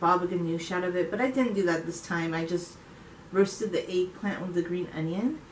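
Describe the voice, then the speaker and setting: Audible room echo and light background noise accompany a woman speaking at a fairly quick pace. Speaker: home cook vlogger. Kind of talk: casual vlog chat. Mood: cheerful, relaxed. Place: kitchen. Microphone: camera far.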